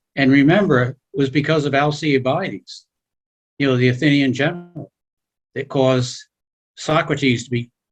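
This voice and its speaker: Pausing long and often, a man with a somewhat breathy, fairly high voice keeps a moderate pace and ordinary pitch variation. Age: 70s. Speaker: seminar participant. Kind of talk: class discussion. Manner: halting.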